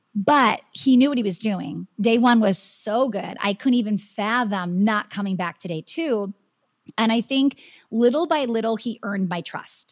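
With an American accent, a woman speaks at a moderate pace in a fairly high, somewhat breathy voice with ordinary pitch variation. The recording is very clean and dry, close with no echo and a silent background. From Wisconsin. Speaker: business coach and dance studio owner. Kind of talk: interview.

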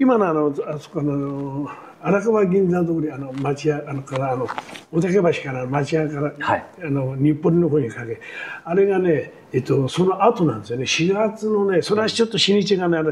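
A man's voice, pitched fairly high, comes through noticeable background noise. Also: lively intonation, moderate pace. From Tokyo, Arakawa ward (shitamachi). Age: 80s. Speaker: war survivor and construction scaffolder. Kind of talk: oral history interview. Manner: casual, conversational.

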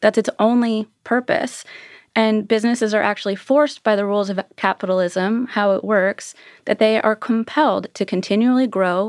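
A woman with an American accent speaks in a normal speaking voice at a moderate pace, with a medium pitch and fairly even intonation. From US West Coast, California. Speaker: economics professor. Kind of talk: panel discussion.

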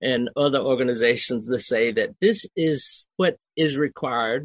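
A man talks with a Southern US accent at a fairly slow pace. The sound is dry and close, with no echo. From US South, Georgia swamp area. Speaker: army veteran, education advocate. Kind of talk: interview.

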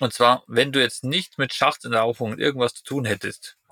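Heard with a dry, close sound and no echo, a man speaks at a moderate pace in a bright, sharp tone. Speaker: podcast host. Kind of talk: casual interview. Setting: in a caravan in Norway.

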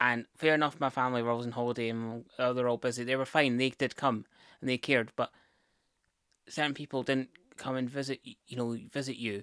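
A fairly quick, monotone, flat delivery in a Scottish accent, with a dry, close sound with no echo on a very clean recording with a silent background. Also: man, medium pitch for a man. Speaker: partner of host, guest. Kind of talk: casual conversation.

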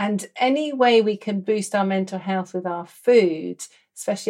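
A woman's medium-pitched voice with an English accent. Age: 50s. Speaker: doctor and podcast host. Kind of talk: casual interview chat.

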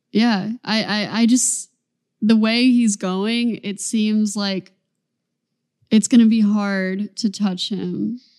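A woman's fairly high-pitched voice at a very slow pace, against a quiet background. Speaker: basketball podcast co-host. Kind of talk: casual chat. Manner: energetic.

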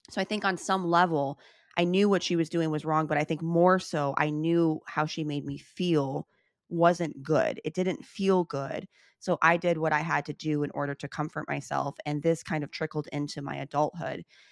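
A woman with an American accent talks at a moderate pace in a very deep, low voice with fairly even intonation. The recording is very clean, with a silent background and a dry, close sound with no echo. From US Midwest, Chicago. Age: 30s. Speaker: author and podcaster. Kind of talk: interview.

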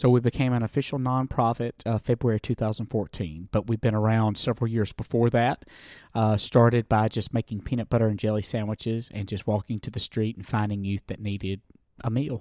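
This speaker has a Southern US accent and a dark, mellow tone, moving at a fairly quick pace with fairly even intonation. The sound is dry and close with no echo, on a very clean recording with a silent background. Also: man, medium pitch for a man. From US South. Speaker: nonprofit founder working with homeless youth. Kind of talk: interview.

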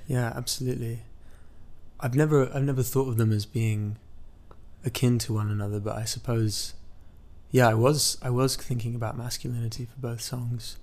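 A man's somewhat breathy, medium-pitched voice with an American accent, monotone and flat, at a moderate pace with long, frequent pauses. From US Midwest (Iowa, small college town), then raised mostly in England. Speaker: musician. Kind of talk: interview. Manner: halting, with frequent repetitions.

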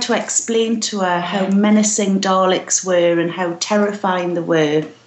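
A woman speaks with a British accent at a fairly slow pace. Her intonation is fairly even. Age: 40s. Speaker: podcast contributor and blogger. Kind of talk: casual interview chat.

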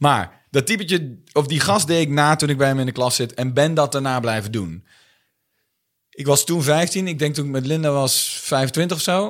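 A man with an unremarkable speaking voice talks at a moderate pace, fairly high in pitch and with ordinary pitch variation. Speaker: comedian. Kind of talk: casual chat.

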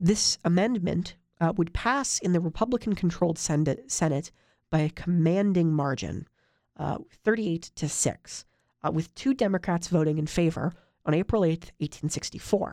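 A woman with an American accent speaks at a moderate pace, her pitch fairly low and her tone dark and mellow, with ordinary pitch variation. The recording is very clean, with a silent background. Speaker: political history podcast host. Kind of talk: history podcast narration. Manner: hesitant, many fillers and repetitions.

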